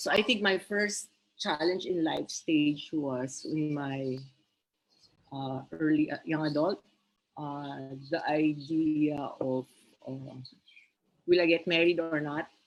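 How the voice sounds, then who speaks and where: A woman with a very deep, low pitch speaks at a very slow pace, leaving long, frequent pauses. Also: ordinary pitch variation. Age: 60s. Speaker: single parent and career woman. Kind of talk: live-streamed interview. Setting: Facebook live stream.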